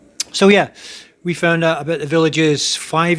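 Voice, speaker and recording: With a Scottish accent, a man speaks at a fairly quick pace and a fairly high pitch over noticeable background noise. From Scotland. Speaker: military serviceman, future retiree. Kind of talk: casual chat. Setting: group gathering on a cruise ship.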